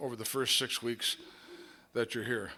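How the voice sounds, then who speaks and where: A normal speaking voice with an American accent moves at a moderate pace. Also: man. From Minnesota. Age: 60s. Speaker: AA speaker. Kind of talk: recovery testimony.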